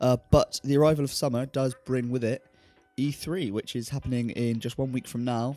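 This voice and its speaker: Music plays in the background as a man with a Southern English accent speaks at medium pitch and a moderate pace. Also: fairly even intonation. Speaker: gaming YouTuber. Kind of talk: casual talk to camera.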